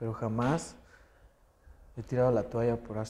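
The voice has a dark, mellow tone and a monotone, flat intonation. It moves at a moderate pace. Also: man. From Mexico, San Luis Potosí. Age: young. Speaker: professional wrestler. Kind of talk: interview.

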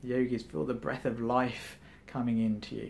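A man talks in a calm tone at a medium pitch, his intonation monotone and flat. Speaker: meditation enthusiast. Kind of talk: guided meditation. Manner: calm, instructive, conversational. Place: home room.

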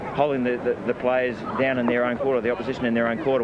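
Speaking at a very fast pace, a man's voice sounds dry with no echo amid noticeable background noise. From New Zealand. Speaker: team captain, rugby league player. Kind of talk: post-match interview. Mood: tired, reflective after the game. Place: stadium. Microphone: handheld.

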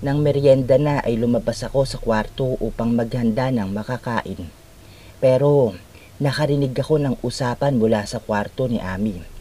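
A man with a dark, mellow tone and a somewhat breathy voice talks at a moderate pace, his medium pitch showing ordinary pitch variation. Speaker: horror story narrator. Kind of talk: scripted horror story narration in first person, with quoted dialogue. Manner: dramatic, suspenseful, voicing characters' lines.

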